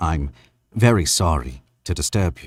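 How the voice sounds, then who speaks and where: A man speaks quietly in a put-on character voice with a very deep, low pitch. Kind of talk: formal, polite. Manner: quiet, concentrated, strictly professional.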